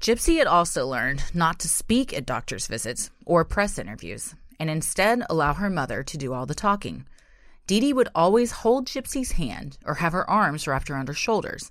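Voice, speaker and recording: A woman's voice with vocal fry and very wide pitch swings, in a very clean recording with a silent background. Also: fairly low pitch for a woman, moderate pace. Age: 30s. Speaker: true crime podcast co-host. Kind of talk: scripted narration; casual chat.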